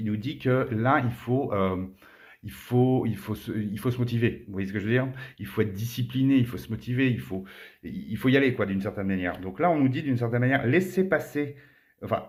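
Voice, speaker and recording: This man talks at a fairly quick pace. His pitch is medium and its variation is ordinary. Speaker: tarot card reader. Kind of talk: tarot reading monologue. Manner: fast.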